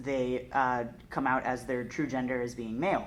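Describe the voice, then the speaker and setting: A woman speaks with a very deep, low pitch at a moderate pace. Audible room echo surrounds her voice. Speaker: theatre artist. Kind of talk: panel discussion. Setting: theatre.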